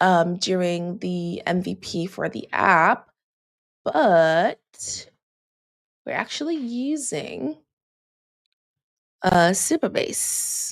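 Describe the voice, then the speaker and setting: A woman with a Jamaican accent speaks at a very slow pace. She leaves long, frequent pauses. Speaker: software developer advocate and live-coding streamer. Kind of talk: casual live-coding stream. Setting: livestream. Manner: casual, conversational.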